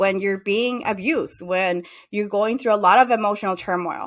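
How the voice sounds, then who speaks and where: A woman with a Spanish accent, fairly high pitch and lively intonation, recorded very cleanly against a silent background. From Mexico. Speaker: psychotherapist. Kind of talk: interview.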